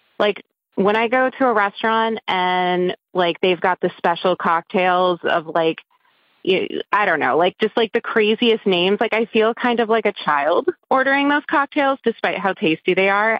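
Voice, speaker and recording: Moderate pace and ordinary pitch variation in a woman's medium-pitched, normal speaking voice. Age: 30s. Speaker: caller leaving a voicemail. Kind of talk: voicemail message.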